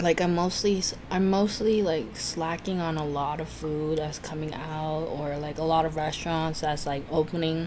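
A woman speaks in a very deep, low pitch with fairly even intonation and hardly any pauses. Noticeable background noise runs underneath. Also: moderate pace. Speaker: food YouTuber. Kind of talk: mukbang eating video, casual talk to camera. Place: home room.

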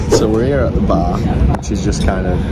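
A man is speaking over loud background noise. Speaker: travel vlogger. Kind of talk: casual vlog chat. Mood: jokey, cheeky banter. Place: train. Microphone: phone near.

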